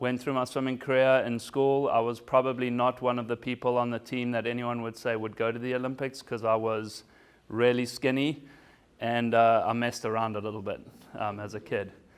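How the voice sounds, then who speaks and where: A man talks at a fairly quick pace in a medium pitch. His intonation is monotone and flat over a quiet background. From South Africa. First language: German and Zulu. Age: 40s. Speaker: former Olympic swimmer and business speaker. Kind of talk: keynote talk.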